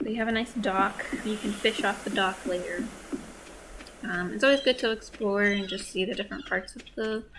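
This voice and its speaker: A soft-spoken woman's fairly high voice at a moderate pace, with ordinary pitch variation. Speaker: gaming video creator. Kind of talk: let's play commentary. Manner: hesitant, many fillers.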